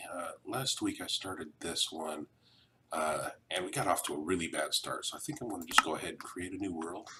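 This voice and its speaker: Quiet and at a fairly quick pace, a man speaks. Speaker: digital artist and animator. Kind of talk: casual gameplay commentary.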